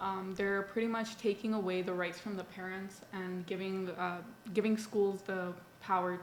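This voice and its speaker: Her medium pitch and fairly even intonation move at a moderate pace as this woman speaks with audible room echo. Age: young. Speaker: college student, young political activist. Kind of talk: casual interview.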